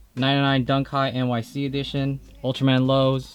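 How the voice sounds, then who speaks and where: A man talks in an enthusiastic tone. Music plays in the background. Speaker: sneaker collector YouTuber. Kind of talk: collection showcase vlog. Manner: fast; casual, enthusiastic.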